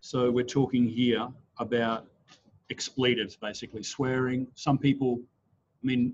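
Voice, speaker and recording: In an Australian accent, a man speaks in a flat monotone broken by long, frequent pauses. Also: medium pitch for a man. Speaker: trainer. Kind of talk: online class. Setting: video call. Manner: fast.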